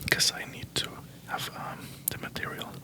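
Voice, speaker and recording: Words come out as a whisper. Background noise is noticeable throughout. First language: Spanish. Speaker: ASMR creator. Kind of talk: ASMR book haul. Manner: whispering; halting.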